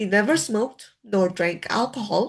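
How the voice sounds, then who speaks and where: Against a quiet background, a somewhat breathy voice moves at a fairly slow pace with ordinary pitch variation. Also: woman. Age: 60s. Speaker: laid-off worker turned online creator. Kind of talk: personal vlog talk. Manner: conversational, frequent filler tags.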